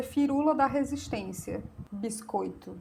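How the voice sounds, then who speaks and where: With a northeastern Brazilian accent, a woman talks with ordinary pitch variation. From Brazilian Northeast. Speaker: YouTuber, political commentator. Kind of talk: opinion monologue to camera. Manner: animated.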